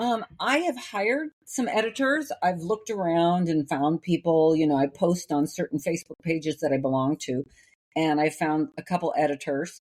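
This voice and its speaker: With a fairly low pitch and lively intonation, a woman speaks at a moderate pace in a dry, close sound with no echo, on a very clean recording with a silent background. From US Midwest, Iowa. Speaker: novelist, former opera singer. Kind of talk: casual interview chat. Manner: clear diction.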